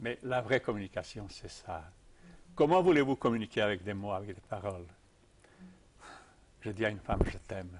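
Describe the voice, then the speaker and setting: A man pauses long and often, keeping a middling speed, a rather low pitch and normal rises and falls. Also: big swings in loudness. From Serbia, Belgrade. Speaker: tai chi teacher. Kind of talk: interview answer.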